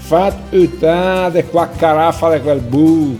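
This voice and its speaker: A man with a Lombard accent and fairly high pitch, at a fairly slow pace with ordinary pitch variation, music in the background. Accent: Brescian dialect. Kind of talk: poetry reading.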